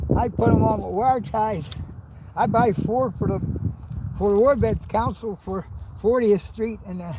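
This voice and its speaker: The speech moves at a fairly slow pace with long, frequent pauses. Noticeable background noise sits behind it. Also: man. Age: 80s+. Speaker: war veteran. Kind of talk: casual chat. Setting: outdoors. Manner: halting.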